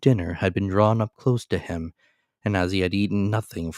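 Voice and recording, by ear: Someone is reading aloud in a natural voice. The background is quiet.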